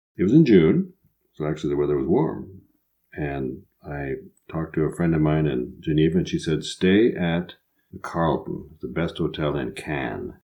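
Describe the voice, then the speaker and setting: A man with a Midwestern accent, very deep and low in pitch with vocal fry, ordinary pitch variation and a moderate pace. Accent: Midwest American. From US Midwest. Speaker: podcast co-host. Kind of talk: storytelling and comedic banter.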